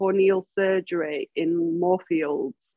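Here a woman speaks with a Mancunian accent. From Manchester, England. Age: 40s. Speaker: massage therapist and facilitator, blind. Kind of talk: interview, personal story. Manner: halting, many fillers.

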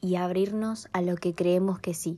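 In a dark, mellow tone, a woman speaks at medium pitch and a fairly slow pace with monotone, flat intonation. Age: young (19). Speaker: podcaster. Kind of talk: personal reflective monologue.

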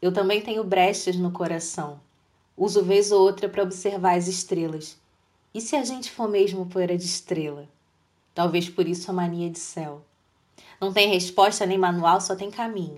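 Moderate pace, fairly even intonation and long, frequent pauses. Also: woman, medium pitch for a woman. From Brazil, Rio de Janeiro state (São Gonçalo). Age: 30s. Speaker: poet. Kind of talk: poetry reading.

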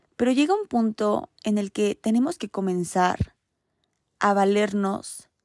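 A woman's medium-pitched voice, ordinary pitch variation, dry and close with no echo. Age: 20s. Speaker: podcast host. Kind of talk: casual monologue.

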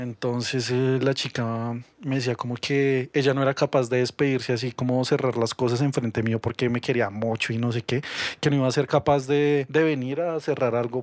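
In a dry, close sound with no echo, a man talks at medium pitch and a moderate pace with monotone, flat intonation. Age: 30s. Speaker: podcast guest. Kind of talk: casual chat.

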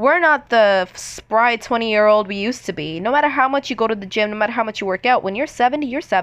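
Over a quiet background, a woman with a fairly high pitch rushes along at a very fast pace with lively intonation and hardly any pauses. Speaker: podcast host. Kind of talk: casual monologue. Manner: animated.

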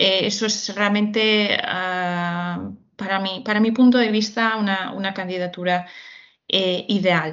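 Her intonation is monotone and flat as this woman speaks at a fairly slow pace. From Galicia, Spain. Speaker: HR recruitment executive. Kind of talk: interview. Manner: halting.

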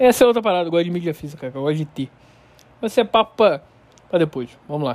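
Speaking very fast, a man uses lively intonation. His pitch is high. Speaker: podcast host. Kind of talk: casual solo monologue. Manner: relaxed, informal.

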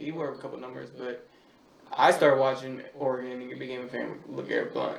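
A man's fairly quick speech with big swings in loudness and audible room echo. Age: 20s. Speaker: podcast guest. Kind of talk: casual chat.

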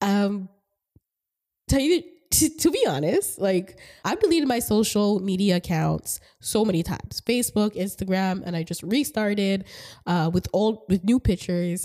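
In a very clean recording with a silent background, a woman speaks at a medium pitch with a dark, mellow tone and lively intonation. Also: moderate pace. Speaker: podcast co-host. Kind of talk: casual chat.

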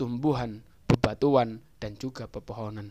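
The man's medium-pitched voice has a dark, mellow tone. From East Java, Indonesia (Jombang). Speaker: university student. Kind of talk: scripted educational explainer. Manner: formal.

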